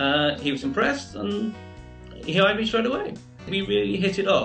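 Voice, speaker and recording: Faint music plays behind a man as he talks. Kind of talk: interview answer. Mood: warm, reminiscing. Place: home room. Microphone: video call.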